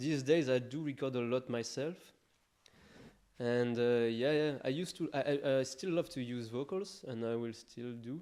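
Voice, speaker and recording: Medium in pitch, a man's voice has a dark, mellow tone. He speaks at a moderate pace with ordinary pitch variation. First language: not English. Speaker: electronic music producer. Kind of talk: interview. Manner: halting.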